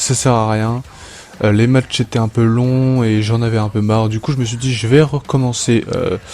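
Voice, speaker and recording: Noticeable background noise sits behind a man's medium-pitched voice. He speaks at a moderate pace with fairly even intonation. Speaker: wrestling fantasy show host. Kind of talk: casual solo podcast intro; scripted narration of simulated wrestling matches. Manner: hesitant, many fillers.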